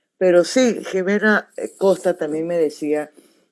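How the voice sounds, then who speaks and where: With a dark, mellow tone and fairly low pitch, a woman speaks at a fairly slow pace using lively intonation. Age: 60s. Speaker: journalist and show host. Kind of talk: interview.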